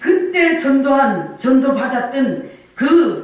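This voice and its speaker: With audible room echo and noticeable background noise, a woman talks in a high pitch and an animated tone. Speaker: evangelist. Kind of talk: sermon.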